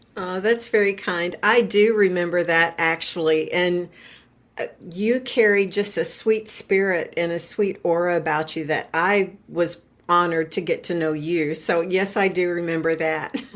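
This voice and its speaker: A woman's ordinary speaking voice, fairly slow and fairly even in intonation, on a very clean recording with a silent background. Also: fairly low pitch for a woman. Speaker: retiree and podcast guest. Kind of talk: interview conversation.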